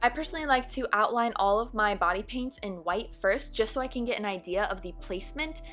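A woman's fairly quick speech over music in the background. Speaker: makeup artist. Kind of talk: makeup tutorial voiceover.

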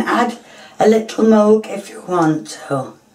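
Noticeable background noise surrounds a woman speaking at a fairly high pitch. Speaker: home cook. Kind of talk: cooking tutorial. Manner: casual, chatty.

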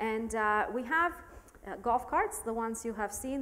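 Moderate pace from a woman's voice. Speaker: robotics professor, lab director. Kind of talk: panel discussion. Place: hall.

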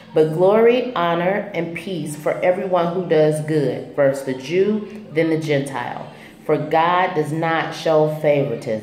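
Faint music plays in the background, and audible room echo fills the space. A woman talks at a fairly slow pace with a fairly low pitch and ordinary pitch variation. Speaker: faith vlogger. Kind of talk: devotional vlog teaching. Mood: calm, earnest. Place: home room. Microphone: phone near.

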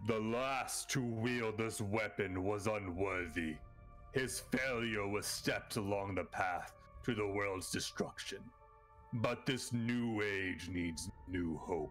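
Over clear background music, a man puts on a character voice, fairly low in pitch, at a fairly slow pace. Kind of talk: booming divine proclamation. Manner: solemn, commanding.

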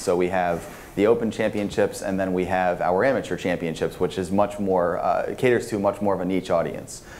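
A man speaks at a fairly quick pace with a fairly low pitch. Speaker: conference panelist. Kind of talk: panel discussion answer. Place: hall.

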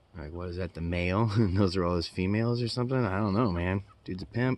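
Very fast and very deep, a man's low voice comes through with ordinary pitch variation and a dry sound with no echo. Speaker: construction worker vlogger. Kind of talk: casual vlog chat. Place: workshop. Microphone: phone near.

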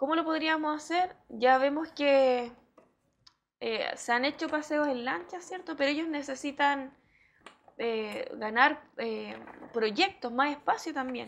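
A woman's high pitch at a very slow pace, with ordinary pitch variation and light background noise. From Chile, Hualpén (Biobío region); Biobío region, Chile. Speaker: mayoral candidate and school education assistant; candidate. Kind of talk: TV interview. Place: studio. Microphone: lapel.

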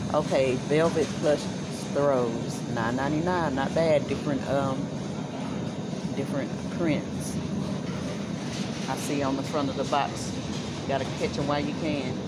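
Delivered at a fairly slow pace with long, frequent pauses, the speech sits under loud background noise. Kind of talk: casual vlog chat. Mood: pleased by bargains. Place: shop. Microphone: phone near.

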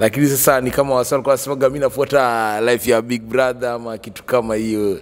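His intonation stays monotone and flat. The male speaker keeps a moderate pace. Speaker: guest. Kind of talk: interview answer. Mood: jovial storytelling. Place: studio. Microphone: handheld.

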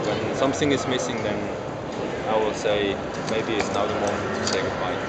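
A man speaks at a moderate pace. Loud background noise runs behind him. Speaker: professional cyclist. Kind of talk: interview answer. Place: hall. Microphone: handheld.

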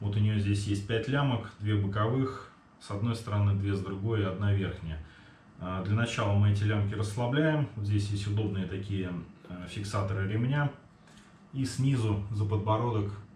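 A man's fairly low voice with fairly even intonation, light background noise and audible room echo. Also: moderate pace. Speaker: product reviewer. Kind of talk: product review tutorial. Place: kitchen. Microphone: camera far.

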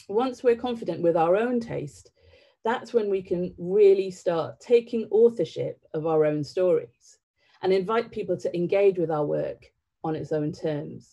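A woman with a dark, mellow tone talks at a fairly slow pace. Behind her, the background is quiet. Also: ordinary pitch variation. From northern England (County Durham), born in Sri Lanka. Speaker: theatre director. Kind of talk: public talk. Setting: online livestream. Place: home room.

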